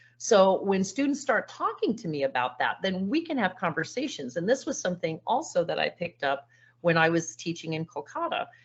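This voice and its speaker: Speaking at a fairly quick pace with hardly any pauses, a woman with an American accent uses a medium pitch that swings very widely, her voice somewhat breathy. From California. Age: 60s. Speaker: teacher. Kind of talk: online presentation.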